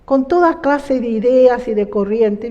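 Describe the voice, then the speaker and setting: With noticeable background noise, a woman speaks at a fairly slow pace. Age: 60s. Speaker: church member giving testimony. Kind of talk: testimony.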